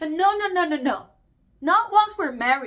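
A woman's pitch swings very widely in a quiet background. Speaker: actor performing a monologue. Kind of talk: dramatic monologue. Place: home room.

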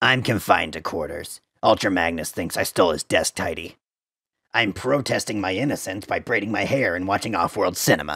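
A man's put-on character voice, fairly low and fairly quick, on a very clean recording with a silent background. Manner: sarcastic, manic.

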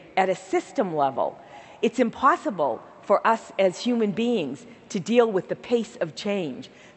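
A woman with a Boston accent speaks at a fairly slow pace, her warm, enthusiastic tone carried by very wide pitch swings. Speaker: healthcare nonprofit CEO. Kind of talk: keynote speech. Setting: stage with audience. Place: stage. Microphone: headset.

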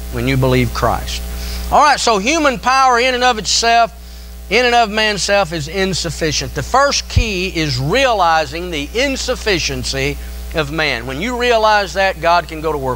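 Light background noise is present. A man speaks at a moderate pace. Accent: Tennessee. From Tennessee. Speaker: pastor. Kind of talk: sermon. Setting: church. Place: church. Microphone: podium.

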